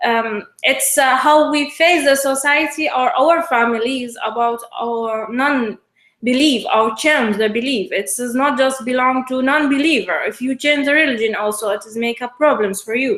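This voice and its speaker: A woman with an Iraqi accent speaks at a high pitch. She hardly pauses at all. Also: ordinary pitch variation, moderate pace. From Iraq, Basra. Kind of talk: interview. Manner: halting, many hesitations.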